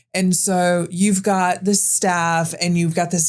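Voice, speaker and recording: A woman's fairly low voice comes through in a very clean recording with a silent background. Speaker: podcast host. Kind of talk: casual chat. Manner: loud; animated.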